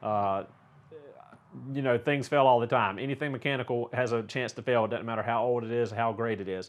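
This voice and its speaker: A man talks at a fairly quick pace in a Southern US accent. His pitch is medium and his intonation fairly even. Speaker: auto mechanic and car YouTuber. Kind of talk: casual viewer Q&A. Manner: casual, many filler words.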